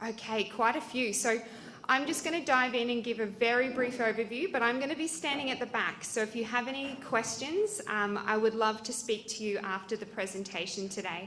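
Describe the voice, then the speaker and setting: A woman with an Australian accent, fairly high in pitch and fairly quick in pace, with ordinary pitch variation and noticeable background noise. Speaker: cancer support charity representative. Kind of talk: presentation.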